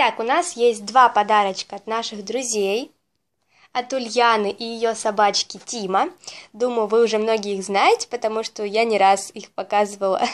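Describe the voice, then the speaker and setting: The voice moves at a moderate pace with ordinary pitch variation and big swings in loudness. The background is quiet. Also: woman. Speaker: pet vlogger. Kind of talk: casual vlog chat. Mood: cheerful, warm. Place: home room.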